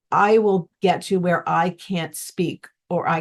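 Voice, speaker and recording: Over a quiet background, a woman with vocal fry speaks at a fairly low pitch in fairly even intonation. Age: 60s. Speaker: musician, gardener, former teacher. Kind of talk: interview answer.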